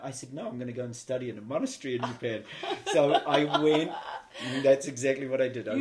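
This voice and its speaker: Fairly quick speech from a man with a New Zealand accent, medium in pitch. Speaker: interview guest telling life story. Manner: conversational, uses fillers like uh and you know.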